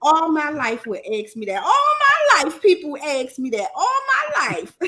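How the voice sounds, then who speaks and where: In a Southern US accent, a woman speaks fairly slowly at a high pitch with very wide pitch swings. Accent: southern twang, dragging her R's and L's. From Maryland, US. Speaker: livestream host. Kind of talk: casual chat. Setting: livestream panel with headset mic.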